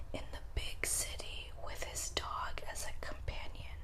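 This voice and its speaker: The speaker whispers at a very slow pace. There is noticeable background noise. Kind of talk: ASMR collection show-and-tell. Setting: indoors, home recording. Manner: whispered.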